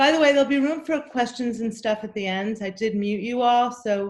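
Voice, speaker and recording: A woman uses a plain, everyday voice, keeping a moderate pace and ordinary pitch variation. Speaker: anxiety coach. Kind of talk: workshop talk.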